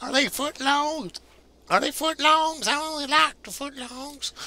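A put-on character voice with a high pitch. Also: fairly slow pace. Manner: prank caller.

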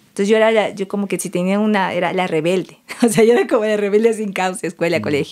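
A woman talks at a medium pitch. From southern Ecuador, El Oro province (Santa Rosa). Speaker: cacao farmer and ceremonial chocolate maker. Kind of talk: casual interview conversation.

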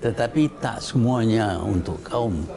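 Very slow speech from a man, noticeable background noise behind it, pitch varying in an ordinary way. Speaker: interviewee. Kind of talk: interview answer. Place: home room.

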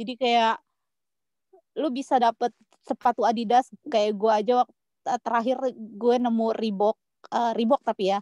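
A woman at fairly high pitch with monotone, flat intonation, a moderate pace, long, frequent pauses and big swings in loudness, in a dry, close sound with no echo. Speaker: guest sharing personal story. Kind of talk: casual chat. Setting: video call.

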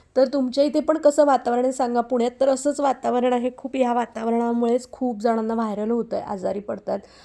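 A woman speaks in a high, dark and mellow voice with fairly even intonation against a quiet background. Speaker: vlogger and homemaker. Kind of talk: casual vlog talk to camera.

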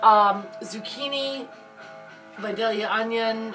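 Over clear background music, a woman speaks at a very slow pace. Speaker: home cooking vlogger. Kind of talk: casual vlog chat. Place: kitchen.

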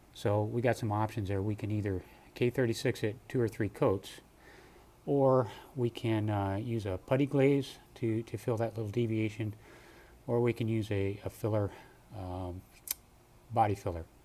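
A man's fairly low, dark and mellow voice moves at a moderate pace with fairly even intonation and long, frequent pauses. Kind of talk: tutorial. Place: garage. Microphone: phone near.

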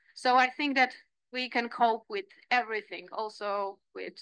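The tone is bright and sharp, with ordinary pitch variation. The background is quiet and the sound is dry with no echo. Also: woman. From Poland. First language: Polish. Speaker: landscape architect and lecturer; lecturer. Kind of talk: lecture. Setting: seminar room. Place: meeting room. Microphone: podium.

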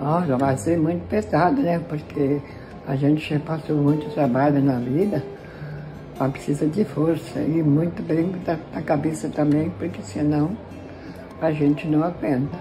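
Over music in the background, a woman with a very deep, low pitch speaks at a fairly slow pace with long, frequent pauses. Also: ordinary pitch variation. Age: 80s+. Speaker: flood survivor. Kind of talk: interview answer. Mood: sad but hopeful, resigned. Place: home room. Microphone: phone near.

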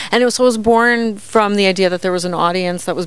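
Her intonation fairly even, a woman speaks in a dry sound with no echo. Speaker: comedian, show host. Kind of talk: interview answer. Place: bar. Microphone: handheld.

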